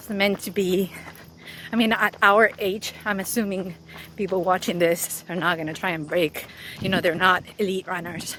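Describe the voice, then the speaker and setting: A woman talks at a moderate pace with fairly even intonation. Her loudness swings widely, and background noise is noticeable. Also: medium pitch for a woman. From Spain, Madrid. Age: 40s. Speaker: running YouTuber and podcast host. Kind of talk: interview answers. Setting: outdoors, running.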